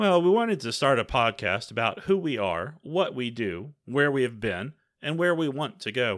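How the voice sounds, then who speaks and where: In an American accent, the speaker talks at a moderate pace with very wide pitch swings, in a very clean recording with a silent background. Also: man, medium pitch for a man. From Texas. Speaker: podcast co-host. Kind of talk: casual podcast intro. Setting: home basement recording.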